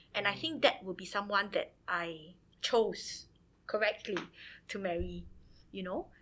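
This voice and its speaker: Speaking in a Singaporean accent, a woman has a medium pitch, a bright, sharp tone, vocal fry and ordinary pitch variation, with big swings in loudness. She goes at a fairly slow pace with long, frequent pauses, on a very clean recording with a silent background. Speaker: teacher. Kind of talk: casual chat.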